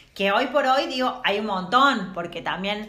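A woman speaks at a medium pitch with ordinary pitch variation. Noticeable background noise and audible room echo surround her voice. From Córdoba, Argentina. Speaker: feminist podcast co-host. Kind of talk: casual chat. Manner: animated.

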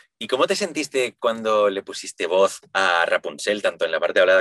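Moderate-paced speech from a man, recorded dry and close without any echo. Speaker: podcast host, singer and voice actor. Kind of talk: interview conversation.

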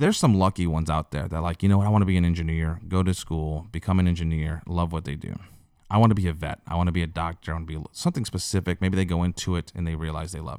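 Very fast and very deep, a man's voice with fairly even intonation comes through on a very clean recording with a silent background. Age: 30s. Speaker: podcast host. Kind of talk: solo monologue podcast. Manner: casual, halting with many fillers and repeats.

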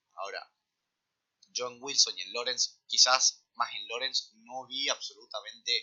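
The speaker is a man. He has a Rioplatense accent. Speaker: sports podcast co-host. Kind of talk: casual chat.

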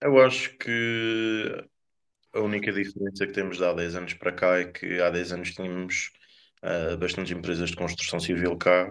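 In a very clean recording with a silent background, a man with a very deep, low pitch speaks at a fairly slow pace and with fairly even intonation. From Azores, Corvo island. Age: 20s. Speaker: youth politician. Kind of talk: interview.

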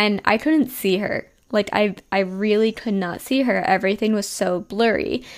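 A woman with a New Jersey accent talks at a moderate pace with hardly any pauses. Her pitch is medium, with ordinary pitch variation. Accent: New Jersey American. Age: 20s. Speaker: podcast host and health coach. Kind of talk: casual personal storytelling.

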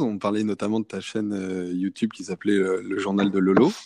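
In a dry, close recording with no echo, a man speaks at a fairly slow pace with a fairly low pitch. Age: 20s. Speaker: podcast host. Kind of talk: casual interview chat.

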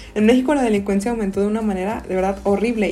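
A woman is talking. Her voice carries a slight breathiness. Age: 20s. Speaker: podcast co-host. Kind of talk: casual chat.

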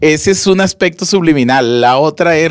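A normal speaking voice, a fairly slow pace, and lively intonation. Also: man. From Monterrey, Nuevo León, Mexico. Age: 30s. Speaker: podcast co-host. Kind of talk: casual chat.

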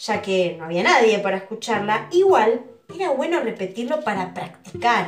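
A woman speaks at a moderate pace with a fairly high pitch. Her intonation is lively and her tone animated and playful. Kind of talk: audiobook storytelling narration. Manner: animated, playful, shifts voice between narrator and characters; conversational, with asides to the listener.

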